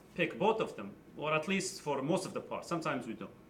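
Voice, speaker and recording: Against noticeable background noise, a man with a high pitch speaks at a moderate pace with lively intonation. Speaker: high school physics teacher. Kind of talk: tutorial. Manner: casual, explanatory.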